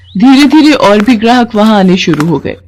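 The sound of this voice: A woman speaks at a medium pitch with big swings in her pitch and a slightly mellow tone. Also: moderate pace.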